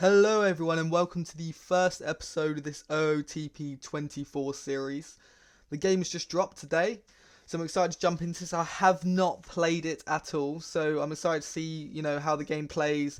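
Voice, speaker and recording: With an English accent, a man speaks at a moderate pace in a fairly high pitch with fairly even intonation. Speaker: gaming YouTuber. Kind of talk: gameplay commentary. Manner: casual, lots of fillers.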